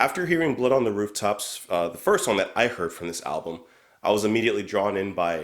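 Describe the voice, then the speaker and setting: A man talks at a very fast pace in a fairly low voice. His tone is animated and his intonation lively. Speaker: music reaction youtuber. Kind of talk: album review.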